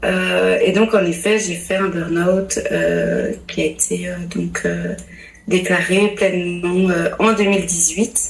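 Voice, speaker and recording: A woman talks very slowly with noticeable background noise around her. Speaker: pastor's wife and family coach. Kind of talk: podcast interview, testimony. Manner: hesitant, many fillers.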